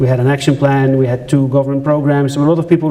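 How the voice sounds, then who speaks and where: Amid noticeable background noise and audible room echo, a man with a Dutch accent talks very fast at a fairly high pitch in a monotone, flat intonation. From Netherlands. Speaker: journalist and conference speaker. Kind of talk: conference talk. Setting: stage with audience.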